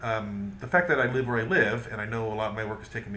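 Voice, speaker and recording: Very fast and with audible room echo, a man speaks at a fairly low pitch. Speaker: vlogger. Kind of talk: video diary monologue. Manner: hesitant, many fillers.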